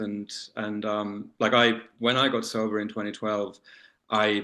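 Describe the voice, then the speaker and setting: Here is a man speaking. He has an Australian accent. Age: 40s. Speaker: leather community titleholder. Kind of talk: panel discussion. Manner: halting, many fillers.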